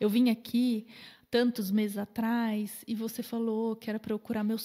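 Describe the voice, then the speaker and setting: Her voice is fairly high for a woman, with a dark, mellow tone and some breathiness. She speaks in a monotone, flat manner. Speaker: nutritionist. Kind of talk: podcast interview. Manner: fast.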